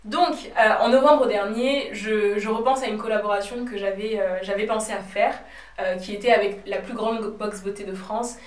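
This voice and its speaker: A woman is speaking amid noticeable background noise. Audible room echo surrounds her voice. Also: fairly high pitch for a woman, ordinary pitch variation, moderate pace. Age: 20s. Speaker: cosmetics brand founder and YouTuber. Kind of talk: vlog. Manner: hesitant with fillers.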